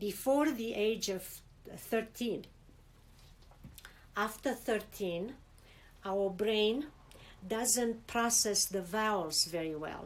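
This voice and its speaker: A woman with a Romanian accent and fairly high pitch, at a very slow pace with long, frequent pauses. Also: ordinary pitch variation. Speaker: immigrant interviewee. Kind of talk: interview. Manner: halting, many repetitions.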